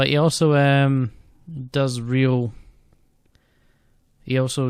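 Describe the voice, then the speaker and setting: A man's medium-pitched voice with a Scottish accent and monotone, flat intonation. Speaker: student operating department practitioner, theatre support worker. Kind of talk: casual vlog talk to camera. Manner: fast.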